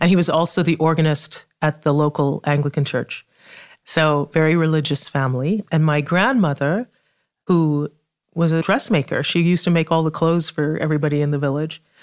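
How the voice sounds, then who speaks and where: Very clean, with a silent background, this recording features a woman with an American accent and a very deep, low pitch. She talks at a fairly quick pace with fairly even intonation and very even loudness. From Trinidad and Tobago. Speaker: writer and activist. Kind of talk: casual interview conversation. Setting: in-person studio.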